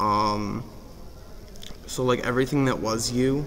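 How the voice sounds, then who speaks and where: Amid noticeable background noise and audible room echo, a man speaks fairly slowly at a medium pitch. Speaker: vlogger. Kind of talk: casual vlog monologue. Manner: hesitant, many fillers.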